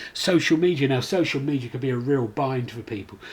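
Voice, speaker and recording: A man speaks in a somewhat breathy voice. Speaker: commercial director presenting a webinar. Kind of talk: online presentation. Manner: fast.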